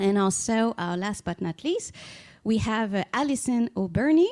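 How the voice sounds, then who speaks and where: A woman with a Spanish accent speaks at a moderate pace and a medium pitch. The recording is very clean with a silent background, and the sound is dry and close with no echo. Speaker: law professor and panel moderator. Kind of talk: panel moderation.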